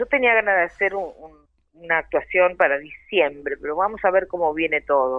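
A woman with a fairly low pitch has a normal speaking voice with big swings in loudness. She talks at a moderate pace with lively intonation. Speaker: tango singer. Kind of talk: interview. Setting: phone or remote call.

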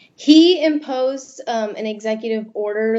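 The speaker has a normal speaking voice. Pitch variation is ordinary. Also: woman. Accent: American. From Florida, army brat. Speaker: student journalist. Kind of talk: interview.

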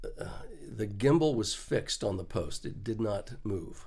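In an American accent, a man speaks at a very slow pace, somewhat breathy, with ordinary pitch variation and audible room echo. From Texas, small town. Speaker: Steadicam operator. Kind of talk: casual interview. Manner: halting, many fillers.

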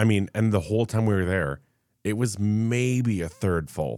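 A man talks at a moderate pace. The background is silent and the recording very clean. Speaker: podcast co-host. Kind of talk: casual chat.

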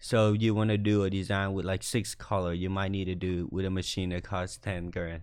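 In a Vietnamese accent, a man speaks at a very deep, low pitch with monotone, flat intonation. He moves at a fairly quick pace with hardly any pauses. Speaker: fashion designer. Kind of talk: casual chat. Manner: confident.

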